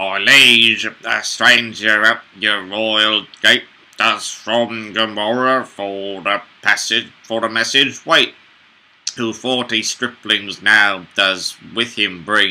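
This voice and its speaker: A man speaks in a put-on character voice, fairly low in pitch, at a very slow pace with fairly even intonation. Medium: read story. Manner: formal, courtly verse.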